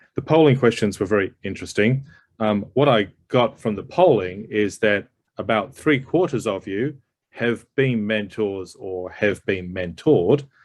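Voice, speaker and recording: A man with an Australian accent speaks at a fairly slow pace. His pitch variation is ordinary. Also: fairly low pitch for a man. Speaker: psychologist and executive coach. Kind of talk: presentation.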